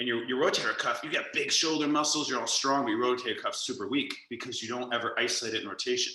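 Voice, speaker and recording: Talking very fast, a man is heard with audible room echo. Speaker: yoga instructor. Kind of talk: guided yoga class instruction. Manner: loud; animated.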